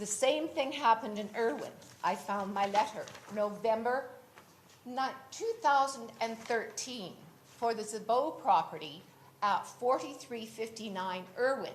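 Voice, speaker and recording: A woman with a Canadian accent speaks fairly slowly in a fairly high, somewhat breathy voice. Her pitch varies normally, and the room echo is audible. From West Vancouver, Canada. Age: 70s. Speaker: local resident at council hearing. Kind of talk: public hearing statement.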